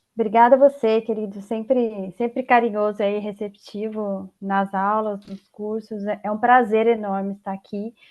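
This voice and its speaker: At a moderate pace and with hardly any pauses, a woman speaks at a fairly high pitch. Her intonation stays monotone and flat, while her loudness swings widely. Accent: interior São Paulo. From interior of São Paulo state, Brazil. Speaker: tax consultant, guest lecturer. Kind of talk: online lecture. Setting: video call from home.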